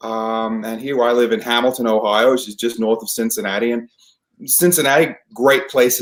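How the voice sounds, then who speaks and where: A man at medium pitch speaks with fairly even intonation. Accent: Australian. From Australia. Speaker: theater professional, naturalized citizen. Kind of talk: interview. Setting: podcast. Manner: hesitant, many fillers.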